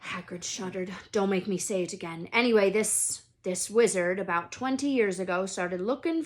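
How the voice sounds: Natural reading voice, its pitch varying an ordinary amount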